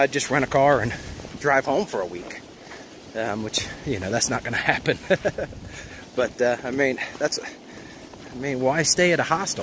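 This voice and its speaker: A man's medium-pitched voice at a moderate pace, with lively intonation, long, frequent pauses and noticeable background noise. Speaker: hiker vlogger. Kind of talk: casual vlog narration. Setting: outdoors on mountain trail.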